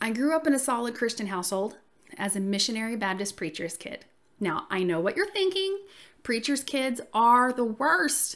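A woman with a fairly high pitch talks in a warm, upbeat tone, her voice making very wide pitch swings. The recording is very clean and the background silent. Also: moderate pace. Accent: Southern US. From US South. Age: 40s. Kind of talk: casual solo podcast intro. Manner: warm, friendly, upbeat.

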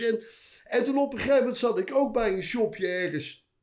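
A man speaks at an extremely high pitch. His intonation is lively and his pace fairly quick. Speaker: veteran tattoo artist. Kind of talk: casual chat.

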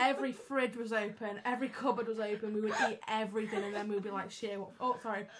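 Through noticeable background noise, a woman with a fairly high pitch races along at a very fast pace with hardly any pauses and fairly even intonation. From northern England, Wigan. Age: 20s. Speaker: university student. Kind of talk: casual chat.

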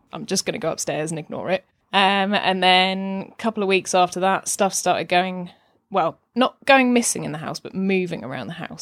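This woman has an unremarkable speaking voice, fairly low in pitch with ordinary pitch variation. She talks at a fairly quick pace on a very clean recording with a silent background. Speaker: podcaster. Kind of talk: casual interview chat. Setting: home.

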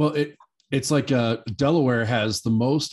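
A man with an American accent talks at a moderate pace in a plain, everyday voice with ordinary pitch variation. The background is quiet. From Nebraska. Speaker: hemp industry advocate. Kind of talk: casual chat.

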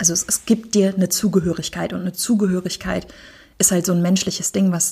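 A woman talks at a very fast pace in a dark, mellow tone with vocal fry. Her pitch is fairly low and her intonation is monotone and flat. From Germany. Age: 30s. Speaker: poetry slammer and queer network worker. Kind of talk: casual chat.

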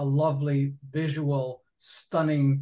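A man's somewhat breathy voice, fairly high in pitch, with an American accent. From Binghamton, New York. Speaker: poet and lyricist. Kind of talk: casual interview.

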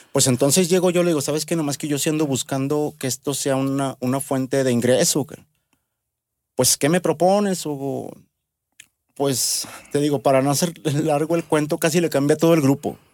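Speaking with a central Mexican accent, a man with a fairly high pitch keeps a fairly even intonation at a moderate pace, taking long, frequent pauses in a dry, close sound with no echo. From Mexico, Aguascalientes. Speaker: bass player. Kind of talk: casual chat.

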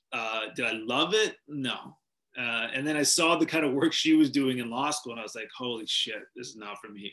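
A man with a western Canadian accent talks at a moderate pace and medium pitch, with ordinary pitch variation and big swings in loudness. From Canada, Vancouver, British Columbia. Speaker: sports TV anchor. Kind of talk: interview.

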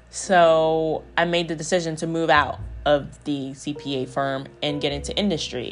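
A woman's very deep, low voice with a relaxed tone and fairly even intonation, music in the background. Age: 20s. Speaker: podcast host, single mom. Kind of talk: casual solo monologue. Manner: conversational, relaxed.

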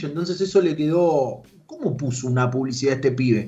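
The speaker has a Rioplatense accent. The pace is fairly quick. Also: man. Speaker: youtuber and esports manager. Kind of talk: radio interview.

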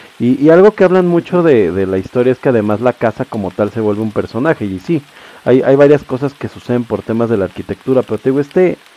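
A man with a Mexican accent at a fairly quick pace, lively intonation, and a dry, close sound with no echo. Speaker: podcast host. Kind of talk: casual chat.

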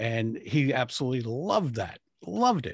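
In an American accent, a man talks with a somewhat breathy voice. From Rhode Island, US. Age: 60s. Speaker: public speaking coach. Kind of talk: interview. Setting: video call.

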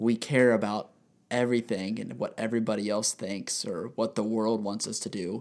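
His intonation fairly even, a man speaks at a medium pitch. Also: moderate pace. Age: 20s. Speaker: podcast co-host and photographer. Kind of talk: casual chat. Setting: studio. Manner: talkative.

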